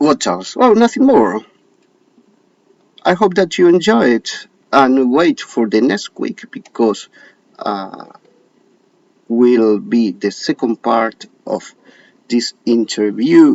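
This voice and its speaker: A man with an Argentine accent, speaking at a very slow pace with long, frequent pauses. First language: Spanish. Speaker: show host. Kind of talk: casual direct-to-camera talk. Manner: halting, many hesitations.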